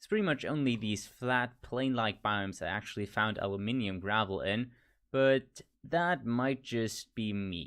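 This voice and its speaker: A man with an American accent at medium pitch, fairly slow in pace, with ordinary pitch variation and big swings in loudness, against a quiet background. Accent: switches between American and British. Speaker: gaming youtuber. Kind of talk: gameplay commentary. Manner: casual, thinking aloud.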